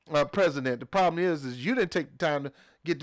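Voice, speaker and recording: A man with an American accent speaks at a fairly quick pace in a high pitch, with an animated tone and ordinary pitch variation. The recording is very clean, with a silent background. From US South. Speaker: political commentary vlogger. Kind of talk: political rant. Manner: fast.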